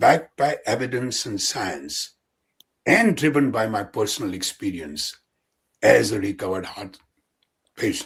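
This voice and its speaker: Somewhat breathy, a man speaks at medium pitch with lively intonation. His pace is fairly slow. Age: 70s. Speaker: physician and endurance athlete. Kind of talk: podcast interview answer.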